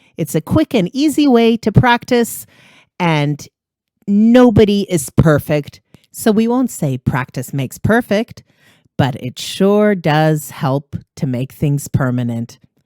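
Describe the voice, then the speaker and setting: A woman with a Canadian accent speaks very slowly in a dark, mellow tone, fairly low in pitch with very wide swings. The sound is dry and close, with no echo. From Canada, East Coast. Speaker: podcast host, English teacher. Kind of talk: scripted language-lesson podcast. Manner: clear, deliberate pronunciation.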